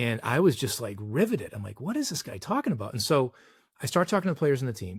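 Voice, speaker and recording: Talking very fast with an American accent, a man's somewhat breathy voice swings widely in both pitch and loudness on a very clean recording with a silent background. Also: medium pitch for a man. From Boston, Massachusetts. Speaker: executive coach and former baseball player. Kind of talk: podcast interview storytelling.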